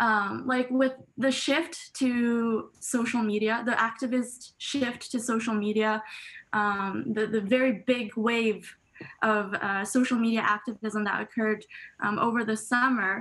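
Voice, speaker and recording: Her loudness very even, a woman speaks at a fairly slow pace with fairly even intonation. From Canada. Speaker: student. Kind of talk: casual chat. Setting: video call. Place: home room. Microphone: video call.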